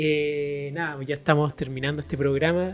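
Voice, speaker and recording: A man speaks at a moderate pace in a normal speaking voice. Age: young. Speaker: podcast co-host. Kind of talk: casual chat.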